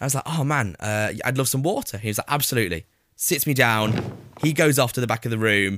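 Speaking in a Lancashire accent, a man uses an animated tone at a fairly quick pace and a medium pitch. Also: ordinary pitch variation. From northern England, Preston. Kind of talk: casual chat.

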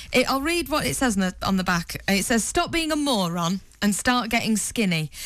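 Her loudness very even, a woman with medium pitch talks at a moderate pace with very wide pitch swings. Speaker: radio breakfast show co-host. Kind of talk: casual radio banter. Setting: radio studio. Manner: giggly, chatty.

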